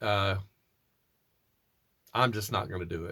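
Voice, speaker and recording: A man with an American accent. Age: 60s. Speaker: doom metal musician. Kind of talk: interview answering read questions. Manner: casual, with fillers and restarts.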